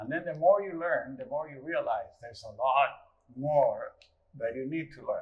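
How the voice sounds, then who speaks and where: A man with a Uruguayan accent talks at a moderate pace. His loudness swings widely. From rural Uruguay. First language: Spanish. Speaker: guitarist. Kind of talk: casual interview.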